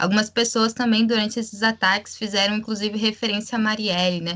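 A woman's medium-pitched voice, bright and sharp in tone, with flat, monotone intonation. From Rio Grande do Sul, Brazil. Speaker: podcast co-host, health professional. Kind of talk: casual political discussion.

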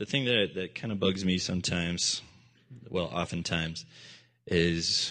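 A man with a very deep, low pitch speaks against a quiet background. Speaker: minister. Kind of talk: sermon. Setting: church. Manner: animated; loud.

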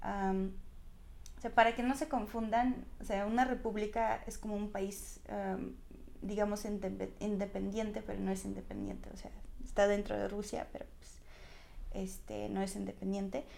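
Audible room echo around a woman's fairly slow speech. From Russia, small ethnic republic. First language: a minority language of Russia (speaking Spanish). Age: 20s. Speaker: Russian language teacher. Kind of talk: interview. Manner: hesitant, many fillers.

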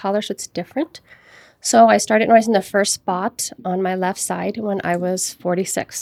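A woman with an ordinary speaking voice talks at a medium pitch with ordinary pitch variation, in a dry, close sound with no echo. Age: 40s. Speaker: mother of the host, sharing health experiences. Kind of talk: casual interview chat.

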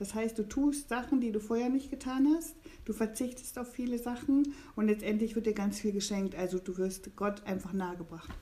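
Noticeable background noise accompanies a woman who speaks at a moderate pace in a fairly high voice with ordinary pitch variation. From eastern Germany. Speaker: pilgrim. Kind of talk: casual chat. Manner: halting.

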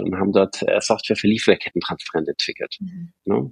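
A man's voice with vocal fry. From Stuttgart, Swabia, Germany. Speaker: bank co-founder and CEO. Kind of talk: interview. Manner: hesitant, many fillers.

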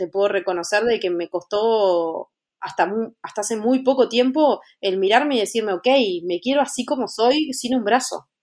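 A woman's fairly high voice moves through ordinary pitch changes at a medium speed. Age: 30s. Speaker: fashion stylist and motivational speaker. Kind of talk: interview. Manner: halting, repeats words.

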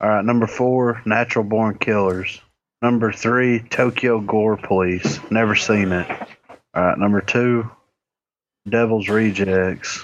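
In a normal speaking voice, the speaker goes at a fairly slow pace with very even loudness and fairly even intonation. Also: man, fairly low pitch for a man. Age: 20s. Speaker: podcast co-host. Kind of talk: casual chat.

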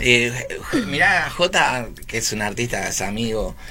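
A man's medium-pitched voice in a Rioplatense accent, at a fairly slow pace, with a bright, sharp tone and audible room echo. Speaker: online radio host. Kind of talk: casual interview.

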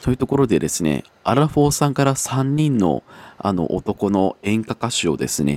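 In a dry, close sound with no echo, a man speaks at a moderate pace while his pitch swings very widely. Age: 20s. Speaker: podcast host. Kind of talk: casual chat.

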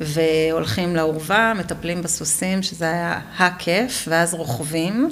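Amid noticeable background noise and audible room echo, a woman speaks very slowly in a fairly low voice. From Israel, western Negev kibbutz. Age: 40s. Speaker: kibbutz-born mother of four. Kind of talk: interview testimony. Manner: halting.

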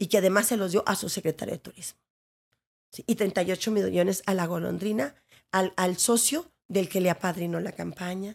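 A woman talks in a medium pitch with an animated tone and big swings in loudness. The recording is very clean, with a silent background. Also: moderate pace. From Ciudad Juárez, northern Mexico. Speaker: actress and theatre director. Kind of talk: interview conversation.

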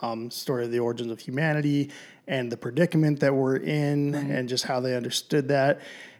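The delivery comes at a fairly quick pace with fairly even intonation. It is a normal speaking voice. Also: man. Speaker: podcast host. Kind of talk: casual chat. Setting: recorded away from usual studio.

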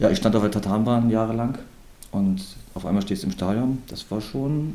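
Heard with audible room echo, a man speaks at a moderate pace with a fairly low pitch and a dark, mellow tone. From Rostock, northern Germany. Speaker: youth football coach and former pro footballer. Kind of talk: casual interview.

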